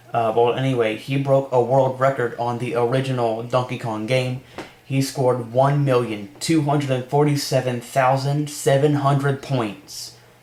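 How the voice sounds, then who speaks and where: A man speaks at a moderate pace and a medium pitch, with monotone, flat intonation. Noticeable background noise runs under his voice. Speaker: gaming news YouTuber. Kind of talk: casual news roundup.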